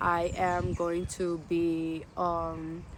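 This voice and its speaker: A woman speaks in a fairly low voice. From Netherlands, Amsterdam. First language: Dutch. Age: 20s. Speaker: vlogger. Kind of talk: personal vlog monologue.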